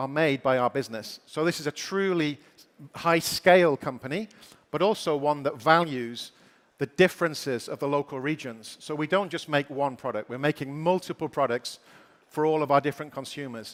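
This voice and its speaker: With a British accent, a man talks at a moderate pace and a fairly high pitch, with ordinary pitch variation. The sound is dry and close, without echo. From Britain. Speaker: company executive giving keynote. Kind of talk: keynote speech.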